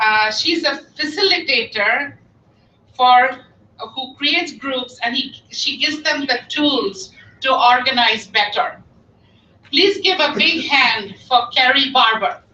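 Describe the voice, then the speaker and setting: A raised, projected voice moves at a very slow pace with lively intonation. There is noticeable background noise. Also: woman, high pitch for a woman. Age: 60s. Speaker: volunteer organizer. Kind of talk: speech to a meeting. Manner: animated.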